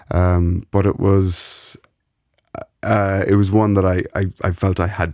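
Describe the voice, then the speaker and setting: A man with an Irish accent speaks in a very deep, low pitch with a dark, mellow tone and flat, monotone intonation. The recording is very clean, with a silent background and a dry, close sound with no echo. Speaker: radio presenter. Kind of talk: casual chat. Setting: studio.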